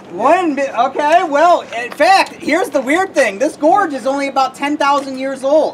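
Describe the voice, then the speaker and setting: Over noticeable background noise, a woman speaks loudly at a high pitch and a moderate pace, with ordinary pitch variation and hardly any pauses. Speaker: tour guide. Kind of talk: guided tour talk. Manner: animated.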